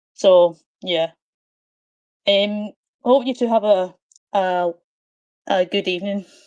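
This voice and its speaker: Very slowly and with long, frequent pauses, a woman with a Scottish accent speaks at a medium pitch and fairly even intonation, in a dry, close sound with no echo. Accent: Scottish, sometimes mistaken for Irish. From Scotland. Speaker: caller. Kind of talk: casual chat. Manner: halting, many fillers.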